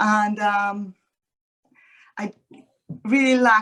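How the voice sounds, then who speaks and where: A woman speaks with a Colombian accent. Her tone is bright and sharp. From Colombia, Cali. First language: Spanish. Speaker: realtor, former economist. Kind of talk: panel webinar introduction. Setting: webinar.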